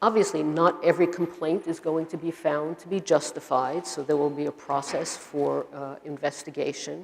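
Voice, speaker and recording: With a Brooklyn accent, a woman speaks in a very deep, low voice with fairly even intonation, hardly any pauses and big swings in loudness. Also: moderate pace. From US Northeast, Brooklyn, New York. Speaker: university administrator and professor. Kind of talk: lecture.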